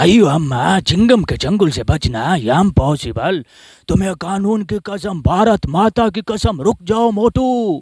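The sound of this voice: A man's cartoonish character voice, high in pitch, on a very clean recording with a silent background.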